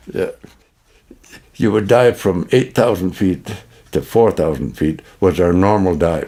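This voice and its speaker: A man speaks with a Canadian accent at a very deep, low pitch. His tone is dark and mellow, with ordinary pitch variation at a moderate pace. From Manitoba, Canada. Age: 90s. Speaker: war veteran. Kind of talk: testimony. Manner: halting.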